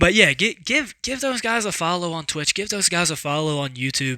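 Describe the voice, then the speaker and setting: In a bright, sharp tone, a man talks at a moderate pace. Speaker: card game vlogger. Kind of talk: casual vlog talk. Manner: halting, many fillers and repeats.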